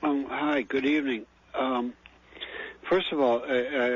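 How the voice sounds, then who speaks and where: Moderate pace from a man speaking. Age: 60s. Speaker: caller, old-time cannabis grower. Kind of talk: radio call-in question. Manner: halting, many fillers.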